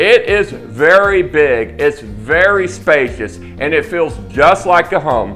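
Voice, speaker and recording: A man speaks at a very slow pace while faint music plays in the background. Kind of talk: sales presentation to camera. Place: office.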